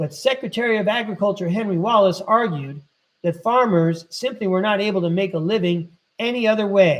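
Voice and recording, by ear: The speaker reads aloud in a natural voice, and the pitch varies in an ordinary way. Behind the voice, things are quiet.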